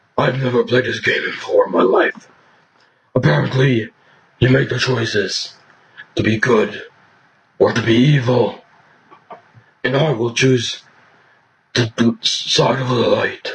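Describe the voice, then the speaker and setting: Using a raspy, put-on character voice at medium pitch, a man speaks at a fairly slow pace with long, frequent pauses. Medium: voice reel. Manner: gruff, serious.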